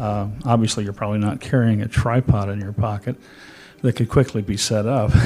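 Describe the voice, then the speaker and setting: A man with an unremarkable speaking voice talks at a fairly quick pace, his fairly low pitch held in a fairly even intonation. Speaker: photography expert. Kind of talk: informative talk.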